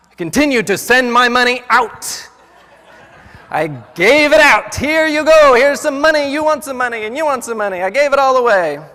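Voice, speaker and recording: A man uses a raised, projected voice at an extremely high pitch. His intonation is lively and his pace moderate. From Kansas, US (Dodge City). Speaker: motivational speaker. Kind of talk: motivational speech. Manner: animated storytelling.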